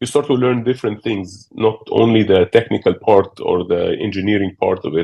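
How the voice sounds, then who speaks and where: The voice keeps a moderate pace with hardly any pauses and ordinary pitch variation. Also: man, fairly low pitch for a man. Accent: Arabic. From Egypt. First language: Arabic. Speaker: business executive. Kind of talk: interview. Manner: halting, many fillers.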